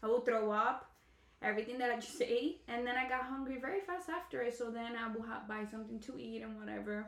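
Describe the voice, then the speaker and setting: A woman talks at a very fast pace. The recording carries audible room echo and noticeable background noise. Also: fairly high pitch for a woman, ordinary pitch variation. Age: 20s. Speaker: mother. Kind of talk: casual chat.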